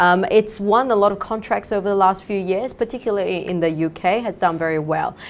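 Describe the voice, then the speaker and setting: A woman with a Chinese accent at medium pitch, ordinary pitch variation, a fairly quick pace and hardly any pauses. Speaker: fund manager. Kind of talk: interview. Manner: halting, many fillers.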